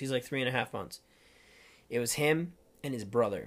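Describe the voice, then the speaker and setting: With an Upper Midwest accent, a man speaks in an animated tone at a medium pitch and moderate pace, with ordinary pitch variation. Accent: Upper Midwest American. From Minnesota, Rochester. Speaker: podcast co-host. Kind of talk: casual chat. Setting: studio.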